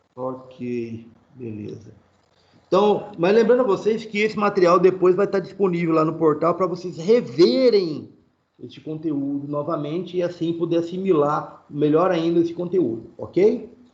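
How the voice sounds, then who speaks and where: Amid audible room echo, a man with high pitch and lively intonation talks at a fairly slow pace. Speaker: university lecturer. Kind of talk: online lecture. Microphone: internet connection freezing at times.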